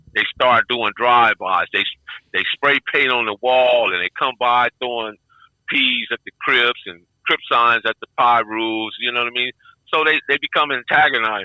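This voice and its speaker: In an American accent, a man with an ordinary speaking voice talks at a moderate pace, medium pitch and fairly even intonation. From Compton, Los Angeles. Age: 60s. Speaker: former gang member. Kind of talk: interview.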